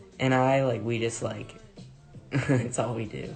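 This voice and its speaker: Against music in the background and audible room echo, a man speaks in a relaxed tone at a medium pitch with monotone, flat intonation. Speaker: singer and social media personality. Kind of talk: casual livestream chat. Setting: at home, livestream.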